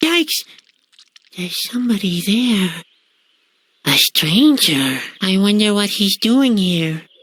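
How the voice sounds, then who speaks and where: Someone in a put-on character voice speaks with a fairly high pitch at a fairly slow pace. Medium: video game. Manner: glum, sardonic.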